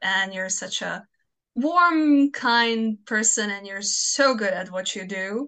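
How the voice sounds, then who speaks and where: A woman with a Croatian accent speaks at a fairly high pitch in a bright, sharp tone. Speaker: fanfiction author. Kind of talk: casual interview chat.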